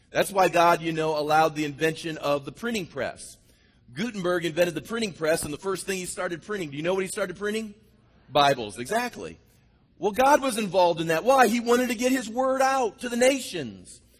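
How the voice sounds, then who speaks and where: Loud and animated, a man speaks at a fairly quick pace in a high pitch with lively intonation. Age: 50s. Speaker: pastor. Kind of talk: sermon. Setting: church.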